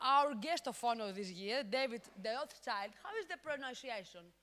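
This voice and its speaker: A woman with a Greek accent speaks fairly slowly in a high, bright, sharp voice with lively intonation. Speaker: conference host. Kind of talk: conference interview.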